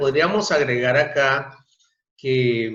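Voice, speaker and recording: A man's fairly high voice with audible room echo. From Colombia, Bogotá. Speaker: astrologer. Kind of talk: casual interview chat.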